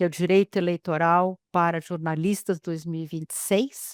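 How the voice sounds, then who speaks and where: In a dry, close sound with no echo, a woman speaks in a monotone, flat way. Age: 60s. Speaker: lawyer, webinar presenter. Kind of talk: webinar introduction. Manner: hesitant, many fillers.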